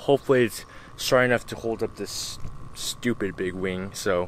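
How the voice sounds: A man speaks at a moderate pace with ordinary pitch variation and a fairly bright tone.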